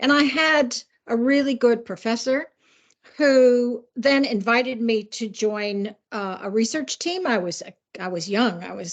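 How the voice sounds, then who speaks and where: Speaking in a normal speaking voice with an American accent, a woman uses a fairly high pitch, ordinary pitch variation and a fairly slow pace. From US Midwest. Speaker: criminologist and policing adviser. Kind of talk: interview.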